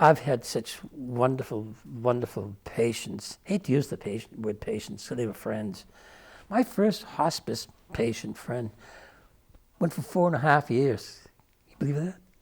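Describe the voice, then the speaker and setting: Somewhat breathy man's voice, medium in pitch, lively in intonation, fairly slow with long, frequent pauses, on a very clean recording with a silent background. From Irish-Scottish immigrant. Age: 70s. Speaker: storyteller and hospice volunteer. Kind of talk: radio interview. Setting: studio.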